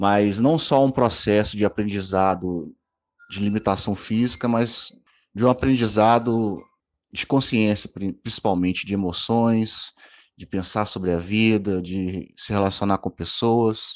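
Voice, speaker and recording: A man with an unremarkable speaking voice talks at a fairly slow pace, his fairly low pitch held in fairly even intonation. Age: 30s. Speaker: wheelchair user sharing personal story. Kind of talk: testimony. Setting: WhatsApp voice message.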